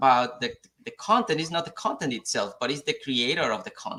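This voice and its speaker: The man's voice has a bright, sharp tone. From Mexico. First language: Spanish. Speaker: software engineer. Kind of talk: live talk show discussion. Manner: halting, repeats words.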